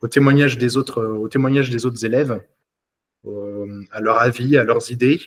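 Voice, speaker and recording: Fairly even intonation from a man, medium in pitch, at a moderate pace. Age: 20s. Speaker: police officer, coaching client. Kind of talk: testimonial interview. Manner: halting, many hesitations.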